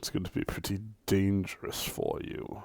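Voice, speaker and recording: A man puts on a character voice. He goes at a moderate pace. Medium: actual play. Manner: sly, insinuating.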